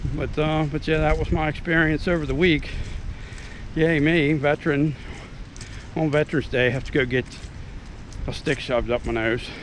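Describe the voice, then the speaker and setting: A man's fairly high voice at a moderate pace, with fairly even intonation and long, frequent pauses, over noticeable background noise. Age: 50s. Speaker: YouTube vlogger, military veteran. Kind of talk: casual vlog monologue. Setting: outdoors, out walking. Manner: halting, many fillers and repetitions.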